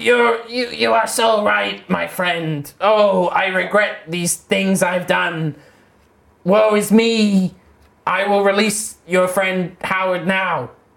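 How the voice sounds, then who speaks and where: In a put-on character voice, raspy and at a middle pitch, the speaker drags along at a very slow pace. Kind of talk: comic fantasy roleplay. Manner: dramatic, mournful, apologetic.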